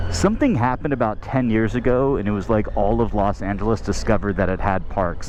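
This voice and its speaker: A man with a fairly low pitch and ordinary pitch variation, talking at a very fast pace amid noticeable background noise. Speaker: motorcycle vlogger. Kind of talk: casual vlog narration while riding. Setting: outdoors on a motorcycle.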